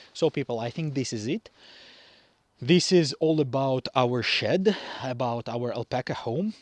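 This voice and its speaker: With a non-native accent, a man speaks very slowly at medium pitch with ordinary pitch variation, in a dry, close sound with no echo. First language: not English. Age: young. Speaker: farmer. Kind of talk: tutorial. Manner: halting.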